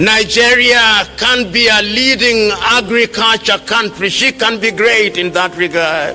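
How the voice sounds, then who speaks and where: A man with a high pitch speaks at a very slow pace in a raised, projected voice. His tone is passionate, and there is noticeable background noise. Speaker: public speaker and lecturer on African politics. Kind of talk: public political speech to an audience. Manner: passionate, rhetorical, impassioned.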